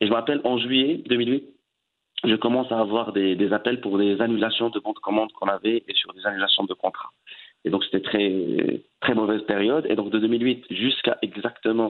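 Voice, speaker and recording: Fairly even intonation and a moderate pace in a man's medium-pitched speech. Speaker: entrepreneur and web consultant. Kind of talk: interview. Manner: halting.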